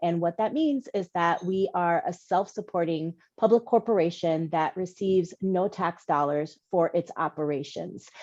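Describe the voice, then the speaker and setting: At a moderate pace, a woman with a New York accent speaks at a fairly low pitch with fairly even intonation over a quiet background. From New York City. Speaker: housing finance executive. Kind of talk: panel presentation.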